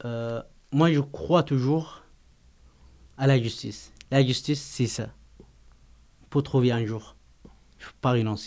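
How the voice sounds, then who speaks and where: Speaking at a very slow pace, a man leaves long, frequent pauses. His medium pitch shows ordinary variation. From Yemen. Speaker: asylum seeker. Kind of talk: poetry reading.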